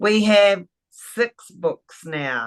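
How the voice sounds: A woman at medium pitch, very slow in pace, with lively intonation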